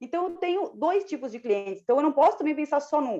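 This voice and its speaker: A woman's dark, mellow tone with very wide pitch swings. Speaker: diagnostic imaging clinic manager. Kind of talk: testimony. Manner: fast.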